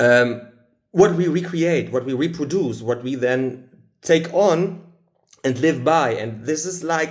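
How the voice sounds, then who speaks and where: Speaking very slowly in a German accent, a man has a fairly high pitch and ordinary pitch variation. Audible room echo surrounds his voice. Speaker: spiritual channeler. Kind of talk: channeled spiritual talk. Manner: halting.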